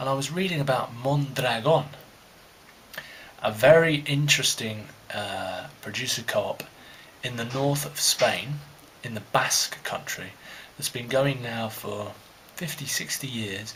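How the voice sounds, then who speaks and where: A man with a medium pitch speaks at a fairly slow pace with long, frequent pauses and big swings in loudness, over noticeable background noise. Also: ordinary pitch variation. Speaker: vlogger, history master's student. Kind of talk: casual monologue. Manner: rambling with hesitations.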